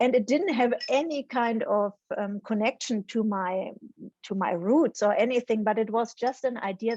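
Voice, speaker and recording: Speaking with a German accent, a woman has a fairly high pitch and a dark, mellow tone. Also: dry, close sound with no echo. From Germany. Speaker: psychology professor. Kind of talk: interview conversation. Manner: hesitant, frequent ums.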